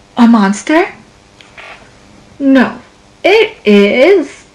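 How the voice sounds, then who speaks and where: A woman performs a put-on character voice. It is high-pitched, with very wide pitch swings. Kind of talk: kindergarten read-aloud. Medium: read story.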